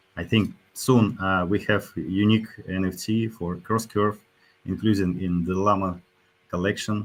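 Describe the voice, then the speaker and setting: A man speaks at a very slow pace. His pitch is very deep and low, with fairly even intonation. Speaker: crypto protocol CEO and co-founder. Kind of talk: livestream AMA panel discussion. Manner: halting, many hesitations.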